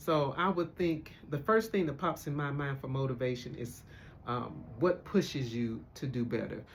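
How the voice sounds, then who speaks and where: A somewhat breathy man's voice at a fairly high pitch, with ordinary pitch variation and a moderate pace. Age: 60s. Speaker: host's sister. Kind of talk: casual chat.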